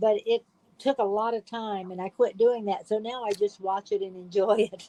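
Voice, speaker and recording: A woman with an American accent speaks at a moderate pace and a fairly high pitch, her dark, mellow tone monotone and flat yet marked by big swings in loudness, in a dry, close sound with no echo. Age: 80s+. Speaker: reality show contestant. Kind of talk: interview.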